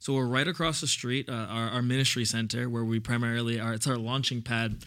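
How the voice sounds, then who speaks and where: A normal speaking voice with an American accent moves at a fairly quick pace with fairly even intonation, in a very clean recording with a silent background. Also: man. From New York City (Brooklyn). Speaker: church youth director. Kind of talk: casual chat.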